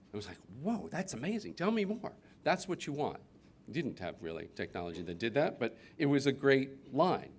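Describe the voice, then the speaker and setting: A man with an American accent, medium pitch, vocal fry and a moderate pace. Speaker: business consultant. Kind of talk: conference talk. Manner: casual with many fillers.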